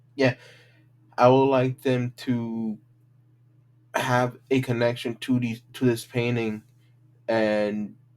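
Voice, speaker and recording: A man with a medium pitch speaks at a very slow pace, with long, frequent pauses. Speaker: student teacher presenting unit plan. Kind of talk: class presentation. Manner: halting, many repetitions.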